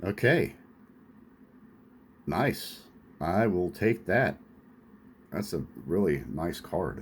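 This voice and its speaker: Using lively intonation and vocal fry, a man with an American accent speaks at a very slow pace. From Lawrence, Kansas. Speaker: vintage sports card collector. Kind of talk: casual talk to camera.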